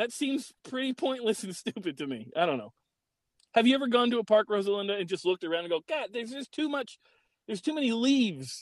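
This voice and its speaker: A loud, high-pitched man talks at a very fast pace with lively intonation. The recording is dry and close with no echo over a quiet background. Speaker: podcast co-host. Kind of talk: casual chat. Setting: recording remotely from a car in a park parking lot. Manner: loud, ranting.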